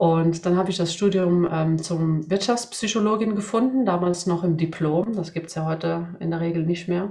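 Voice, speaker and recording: Against noticeable background noise, a woman speaks with a fairly low pitch and fairly even intonation. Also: moderate pace, hardly any pauses. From Sweden. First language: Swedish (bilingual with German) (speaking German). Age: 40s. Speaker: job application coach. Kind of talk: interview.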